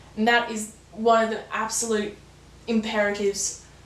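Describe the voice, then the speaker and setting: Against noticeable background noise and audible room echo, a woman speaks in a fairly high pitch with monotone, flat intonation. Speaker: new YouTuber, sustainability channel. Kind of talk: vlog monologue. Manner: calm, understated delivery.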